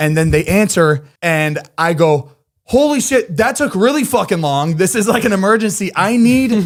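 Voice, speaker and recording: With an animated tone, a man speaks at a high pitch that swings very widely while his loudness stays very even. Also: moderate pace. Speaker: podcast co-host. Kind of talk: casual chat. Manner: quiet.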